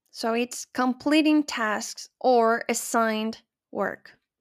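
A woman's high-pitched voice, with ordinary pitch variation, comes through in a very clean recording with a silent background. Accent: Spanish. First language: Spanish. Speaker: English teacher podcaster. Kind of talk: language lesson.

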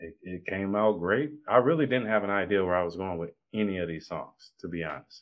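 An unremarkable speaking voice moves at a fairly quick pace with ordinary pitch variation. Its loudness swings widely. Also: man, fairly low pitch for a man. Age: 30s. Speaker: rapper. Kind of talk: casual interview.

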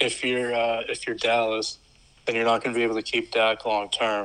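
At a medium pitch, a man speaks at a moderate pace. He has an ordinary speaking voice. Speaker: podcast co-host guest. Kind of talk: casual chat.

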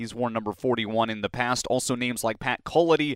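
A man speaks at a medium pitch with ordinary pitch variation, in a very clean, dry, close recording with no echo and a silent background. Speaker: hockey play-by-play broadcaster and podcast host. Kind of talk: sports interview podcast. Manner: animated.

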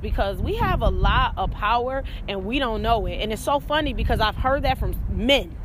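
A woman talks fairly quickly amid noticeable background noise and audible room echo. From Rochester, New York. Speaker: podcast host, hair stylist and motivator. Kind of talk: casual chat.

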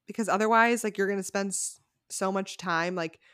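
At a moderate pace, a woman speaks with an American accent in an unremarkable speaking voice, medium in pitch with ordinary pitch variation. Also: very clean recording, silent background. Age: 20s. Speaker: podcast co-host. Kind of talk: casual chat.

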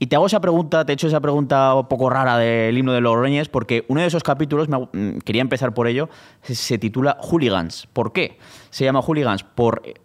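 At a fairly quick pace, a man with an unremarkable speaking voice talks at a medium pitch with ordinary pitch variation. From Spain, Zaragoza. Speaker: podcast host. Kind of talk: casual chat. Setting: stage with audience.

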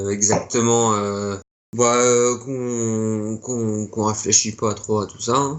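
A man at a very slow pace, medium-pitched, with monotone, flat intonation. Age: 20s. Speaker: punk rock musician. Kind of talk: interview.

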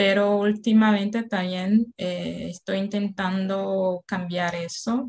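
In a Portuguese accent, a woman talks very slowly at a medium pitch, somewhat breathy and in a flat monotone. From Brazil, Salvador, Bahia. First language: Portuguese (speaking Spanish). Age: 30s. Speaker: Spanish learner. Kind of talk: casual chat.

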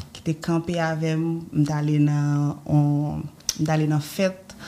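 Amid noticeable background noise, a woman with a very deep, low pitch talks at a very slow pace in a monotone, flat intonation. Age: 20s. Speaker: cancer survivor, businesswoman. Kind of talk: testimony. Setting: studio.

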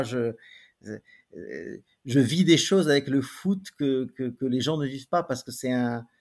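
A man speaks at a very slow pace with a medium pitch and ordinary pitch variation. The recording is very clean, with a silent background. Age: 50s. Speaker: painter. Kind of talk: interview. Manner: halting, frequent repetitions.

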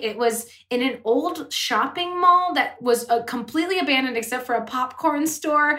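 This woman speaks in a high, raised and projected voice at a moderate pace, her pitch swinging very widely. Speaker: podcast host. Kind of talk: casual chat.

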